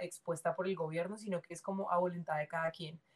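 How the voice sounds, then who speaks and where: A somewhat breathy woman speaks at a fairly low pitch in a monotone, flat intonation. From Colombia, Cali. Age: 20s. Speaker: dancer. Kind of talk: casual interview.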